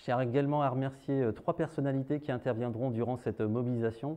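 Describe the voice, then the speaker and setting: A man speaks with a dark, mellow tone. His pace is moderate and his intonation fairly even. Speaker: event host. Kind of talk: formal event opening speech. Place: hall. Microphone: lapel.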